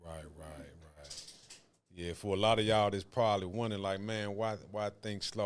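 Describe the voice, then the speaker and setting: A man with a Southern US accent and a very deep, low voice speaks with fairly even intonation in a very clean recording with a silent background. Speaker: podcast host. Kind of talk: casual chat. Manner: slow.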